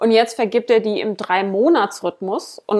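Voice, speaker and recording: An unremarkable speaking voice from a woman of medium pitch, with lively intonation at a moderate pace. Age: 30s. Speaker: podcast co-host. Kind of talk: casual chat.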